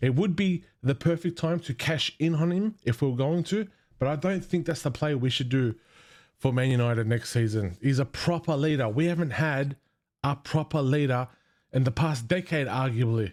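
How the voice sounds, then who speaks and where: A man with a plain, everyday voice speaks at a moderate pace and a fairly high pitch, with ordinary pitch variation. The loudness stays very even on a very clean recording with a silent background. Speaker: football fan vlogger. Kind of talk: casual fan commentary.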